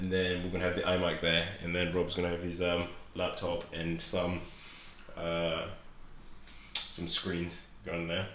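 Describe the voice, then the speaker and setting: Someone speaks at a moderate pace in a southern England accent, with monotone, flat intonation. Room echo is audible and background noise is noticeable. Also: man. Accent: British English, southern England. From Zimbabwe, moved to England at eight. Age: 20s. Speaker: fitness vlogger. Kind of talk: casual vlog.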